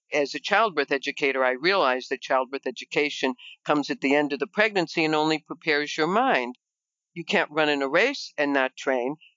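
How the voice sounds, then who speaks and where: A woman with an American accent, very deep and low in pitch, with ordinary pitch variation and a fairly quick pace. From Chicago, US Midwest. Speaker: nurse and fitness business founder. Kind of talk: interview.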